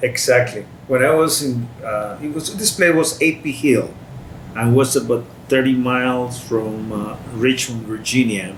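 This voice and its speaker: A man's medium-pitched voice at a fairly slow pace, with ordinary pitch variation, audible room echo and noticeable background noise. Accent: Spanish. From Costa Rica. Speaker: war veteran. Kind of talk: interview. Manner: halting.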